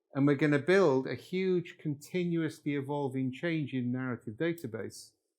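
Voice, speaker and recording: A man's voice with a Welsh accent and ordinary pitch variation, in a very clean recording with a silent background. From North Wales. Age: 70s. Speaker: workshop leader, professor. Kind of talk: lecture. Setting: workshop with live audience.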